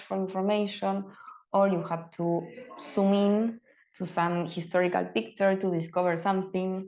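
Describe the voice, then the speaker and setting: Speaking at a fairly slow pace in an Argentine accent, a woman keeps a medium pitch and a monotone, flat intonation. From Argentina. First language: Spanish. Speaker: open culture advocate presenting a case study. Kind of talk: webinar presentation. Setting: online webinar. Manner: halting with many fillers.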